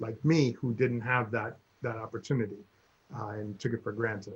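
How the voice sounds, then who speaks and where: Flat and monotone, a man speaks at medium pitch in a somewhat breathy voice. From Cuba. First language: Spanish. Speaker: guest sharing life story. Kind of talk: casual chat. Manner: halting.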